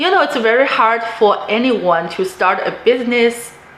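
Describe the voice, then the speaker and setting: There is audible room echo and noticeable background noise. A woman speaks at a moderate pace in a high pitch. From immigrant to the US, non-native English speaker. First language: not English. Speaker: real estate investor, vlogger. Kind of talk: personal story and advice monologue.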